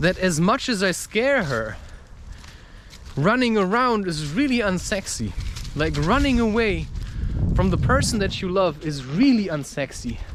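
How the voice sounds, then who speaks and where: A man speaks in a high pitch with very wide pitch swings. Noticeable background noise runs behind him. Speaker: spiritual podcaster and author. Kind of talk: casual spiritual talk to camera, personal monologue.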